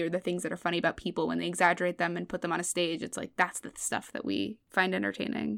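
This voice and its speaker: A woman talks at a very fast pace with an American accent. Her pitch is fairly low, with ordinary pitch variation. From US West Coast (Los Angeles, San Fernando Valley). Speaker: comedian. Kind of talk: casual chat. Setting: video call.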